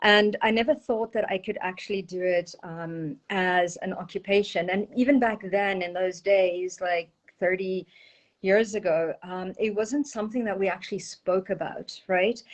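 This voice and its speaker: This woman has a South African accent and a medium pitch. She talks at a moderate pace with fairly even intonation. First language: Portuguese. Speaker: energy healer and intuitive. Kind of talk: interview.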